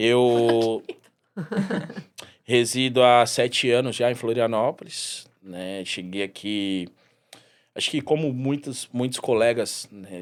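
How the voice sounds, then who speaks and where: A man at a very slow pace, with big swings in loudness and long, frequent pauses. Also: medium pitch for a man, ordinary pitch variation. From Brazil, São Paulo. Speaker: mixologist. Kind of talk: podcast interview.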